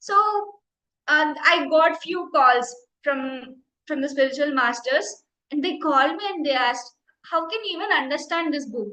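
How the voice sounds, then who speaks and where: With a bright, sharp tone, a woman projects her high-pitched voice at a moderate pace, leaving long, frequent pauses. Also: ordinary pitch variation. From India, Andhra Pradesh. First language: Telugu. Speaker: meditation teacher. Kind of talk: personal testimony. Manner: halting, repeats words.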